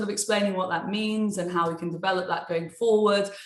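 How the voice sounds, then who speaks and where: A woman talks with a British accent in a monotone, flat delivery. Room echo is audible around her voice. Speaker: sports TV presenter and webinar moderator. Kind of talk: webinar moderation. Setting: online webinar. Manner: informal, chatty.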